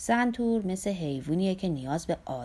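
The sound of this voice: Lively intonation lifts an unforced reading voice.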